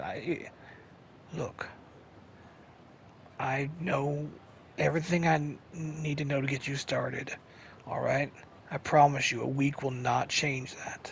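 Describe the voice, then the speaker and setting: In a put-on character voice, someone speaks raspy and low-to-middle in pitch at a fairly slow pace, with long, frequent pauses over clear background noise. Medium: machinima. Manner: halting, hesitant starts.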